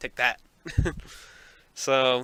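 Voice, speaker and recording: A man talks at a medium pitch. Noticeable background noise can be heard. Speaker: podcast host. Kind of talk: casual solo podcast monologue. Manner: fumbling, halting. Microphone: poor audio quality.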